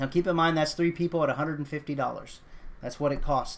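A man in an American accent talks at a fairly quick pace and a fairly high pitch. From Texas. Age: 30s. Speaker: podcast host. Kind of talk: political commentary podcast. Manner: hesitant, many fillers; impassioned.

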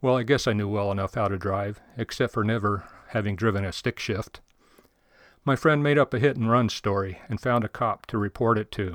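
In a dry, close recording with no echo, a man speaks at a fairly low pitch in an unremarkable speaking voice. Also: ordinary pitch variation, fairly quick pace. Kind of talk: testimony.

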